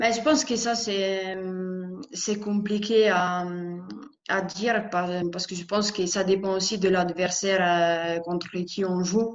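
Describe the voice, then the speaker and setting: A woman with an Italian accent speaks very slowly at medium pitch with fairly even intonation. Audible room echo surrounds her voice. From Italy, Lombardy (Bergamo area). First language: Italian (speaking French). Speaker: professional footballer. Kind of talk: interview. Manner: halting, with repeated words.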